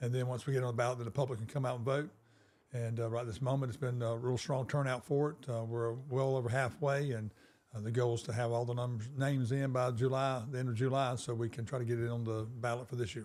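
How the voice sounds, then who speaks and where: A very fast, monotone, flat delivery with a South Carolina accent. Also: man, medium pitch for a man. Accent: Southern US (South Carolina). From US South, South Carolina (Darlington). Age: 60s. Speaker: small-town mayor. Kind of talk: interview. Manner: hesitant, many fillers.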